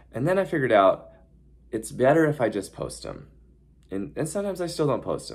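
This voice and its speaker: A man with a fairly high pitch speaks with lively intonation and some vocal fry. The recording is very clean, with a silent background. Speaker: horse trainer and YouTuber. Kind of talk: casual vlog talk. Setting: hotel room. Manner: fast.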